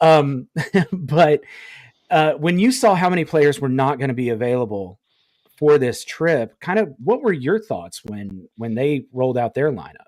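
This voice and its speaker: This man talks with a fairly high pitch and very wide pitch swings, in an Appalachian accent. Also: moderate pace. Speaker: podcast host. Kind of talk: casual chat.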